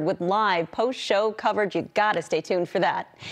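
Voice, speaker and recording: A woman with an unremarkable speaking voice, medium pitch and a fairly quick pace. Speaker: news anchor. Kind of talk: TV newscast anchor reading headlines and handing over to reporters. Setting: TV studio newscast. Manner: formal, polished, brisk broadcast delivery.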